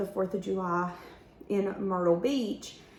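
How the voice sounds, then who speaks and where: A woman speaks at a fairly slow pace amid audible room echo and noticeable background noise. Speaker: tarot reader. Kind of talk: tarot reading.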